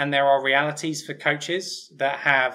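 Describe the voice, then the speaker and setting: In an English accent, a man with a bright, sharp tone and fairly high pitch speaks at a moderate pace. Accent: English, still noticeable after years abroad. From England, Hertfordshire. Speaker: sports physiologist and researcher. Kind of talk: interview. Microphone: webcam.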